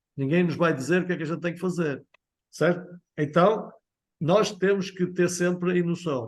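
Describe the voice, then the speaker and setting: A man with a European Portuguese accent talks at a moderate pace in a high pitch, his pitch varying in an ordinary way. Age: 50s. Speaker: sales trainer. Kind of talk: training session.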